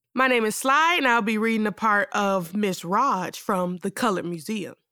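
With a dramatic, theatrical tone, a woman speaks at a fairly high pitch, bright and sharp, in very wide pitch swings. The recording is very clean with a silent background, and the sound is dry and close with no echo. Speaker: performer reading a monologue. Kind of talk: theatrical monologue performed in character. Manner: campy, sassy, flamboyant, animated; dramatic, theatrical, with snaps and laughs.

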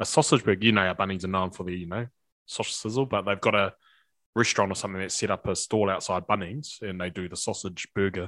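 In a New Zealand accent, a man speaks at a very fast pace with a fairly low pitch and fairly even intonation. The recording is very clean with a silent background. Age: 30s. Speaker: rugby coach and former player. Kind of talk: casual chat.

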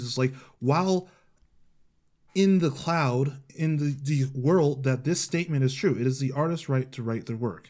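On a very clean recording with a silent background, a man with a fairly high pitch speaks at a moderate pace, with ordinary pitch variation and a normal speaking voice. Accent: American. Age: 20s. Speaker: podcast host. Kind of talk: casual chat.

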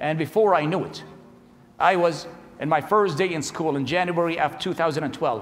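Fairly high male voice in an Iraqi accent, with noticeable background noise. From Iraq, Baghdad. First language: Arabic. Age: 40s. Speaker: preacher, convert from Islam. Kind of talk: testimony.

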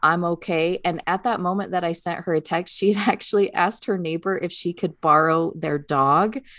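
Over a quiet background, a woman with an ordinary speaking voice talks at a moderate pace and a fairly low pitch, her intonation fairly even. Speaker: podcast co-host and teacher of English learners. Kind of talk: casual chat.

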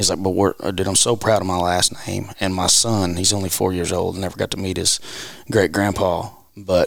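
A man speaks with a Southern US accent at a moderate pace. His pitch is very deep and low. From Arkansas (Marshall). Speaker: country music singer-songwriter. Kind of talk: casual chat. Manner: animated.

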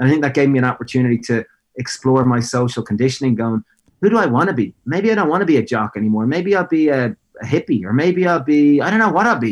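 In an Irish accent, a man speaks at a very fast pace with medium pitch. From Ireland, Greystones (Co. Wicklow). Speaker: food business founder. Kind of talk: interview.

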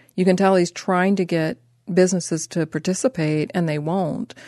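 Against a quiet background, a woman speaks at a moderate pace with a fairly low pitch and ordinary pitch variation. Her tone is dark and mellow, and the sound is dry and close with no echo. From Ohio, Columbus. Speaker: author and cultural documentarian. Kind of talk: interview.

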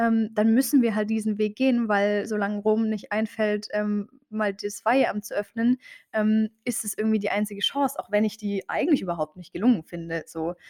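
In a dry, close sound with no echo, a woman speaks at a moderate pace with a fairly high pitch and ordinary pitch variation. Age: 20s. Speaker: theology student and Instagram creator. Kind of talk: interview. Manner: hesitant, many filler sounds.

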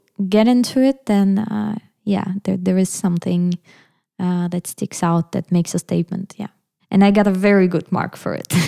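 In a Russian accent, a woman with a dark, mellow tone talks at a moderate pace, the sound dry and close in a very clean recording with a silent background. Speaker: musician. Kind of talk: interview conversation. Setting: at a kitchen table in Berlin. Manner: hesitant, many fillers.

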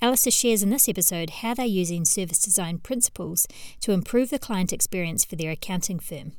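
In a New Zealand accent, the speaker talks fairly quickly with lively intonation over a very clean, silent background. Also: woman. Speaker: podcast host. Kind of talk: interview; scripted intro. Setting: studio.

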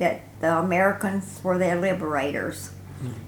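With a Tennessee accent, a woman speaks at a fairly low pitch, with noticeable background noise and audible room echo. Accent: US Southern (Tennessee). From Middle Tennessee. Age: 90s. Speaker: war veteran's wife. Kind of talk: oral history interview.

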